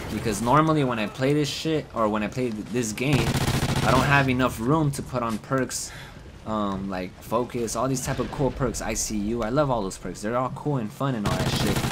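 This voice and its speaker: Noticeable background noise accompanies a man speaking in an animated tone with ordinary pitch variation. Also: medium pitch for a man. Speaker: gaming YouTuber. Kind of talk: gaming live commentary, casual and profane, recorded over gameplay. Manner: animated, frustrated, rapid chatter with constant swearing and reactions; casual, chatty, laughs at own mistakes.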